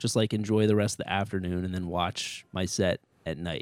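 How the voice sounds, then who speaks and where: Talking at a fairly quick pace, a man with an American accent uses a normal speaking voice and fairly even intonation on a very clean recording with a silent background. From Connecticut (Ridgefield). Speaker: stand-up comedian. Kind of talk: casual chat.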